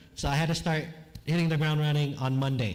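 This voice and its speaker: There is audible room echo around a man whose voice is fairly high and somewhat breathy. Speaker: chaplain, guest preacher. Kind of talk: sermon. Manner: casual, conversational.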